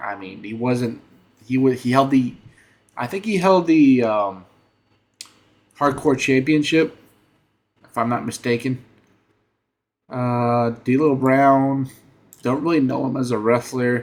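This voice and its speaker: This man talks at a fairly slow pace with long, frequent pauses. His pitch is medium, with ordinary pitch variation. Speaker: gaming and wrestling YouTuber. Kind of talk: casual commentary monologue. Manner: hesitant, many fillers.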